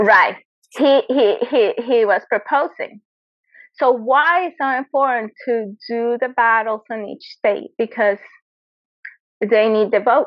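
With a Spanish accent, a woman speaks at a high pitch and a fairly slow pace, with ordinary pitch variation and long, frequent pauses. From Venezuela. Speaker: Olympic competitive shooter. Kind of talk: interview. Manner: animated.

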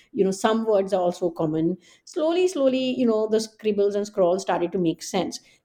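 Over a quiet background, a woman with an Indian accent speaks at a moderate pace and medium pitch, her dark, mellow tone held at a very even loudness. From Delhi, India. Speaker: historian and professor. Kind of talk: interview about her book.

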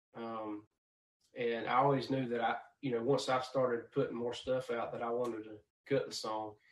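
At a moderate pace, a man talks in a medium pitch with monotone, flat intonation. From Georgia, US South. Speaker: country singer-songwriter. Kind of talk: casual interview chat.

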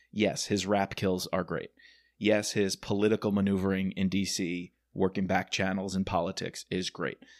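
In an American accent, a man with a fairly low pitch talks at a moderate pace, the sound dry and close with no echo on a very clean recording with a silent background. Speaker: podcast host and geography teacher. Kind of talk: casual chat.

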